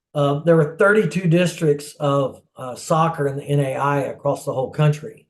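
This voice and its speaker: Fairly high pitch and a somewhat breathy quality from a man. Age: 60s. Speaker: former goalkeeper, soccer player. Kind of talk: interview answer.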